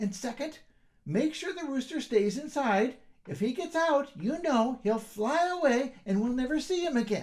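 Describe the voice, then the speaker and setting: A put-on character voice, high in pitch, moves at a moderate pace. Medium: read story. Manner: firm, no-nonsense.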